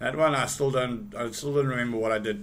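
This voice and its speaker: Bright and sharp in tone, a man's medium-pitched voice has lively intonation and a moderate pace, with audible room echo. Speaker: forex trader streaming live trades. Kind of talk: live trading tutorial. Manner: casual, with frequent fillers and repeats; loud at times.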